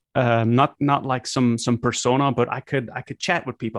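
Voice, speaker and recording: A man with a Flemish accent talks at a fairly quick pace and medium pitch, with a dry, close sound, no echo and a quiet background. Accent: Flemish Dutch accent in English. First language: Dutch. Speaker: content creator. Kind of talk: casual interview chat.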